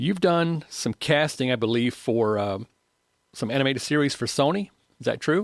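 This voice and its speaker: A man with a slight Southern US accent speaks at a fairly high pitch and moderate pace, with lively intonation and a dry, close sound with no echo. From North Carolina. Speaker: podcast co-host and audio engineer. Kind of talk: podcast interview. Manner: laid back.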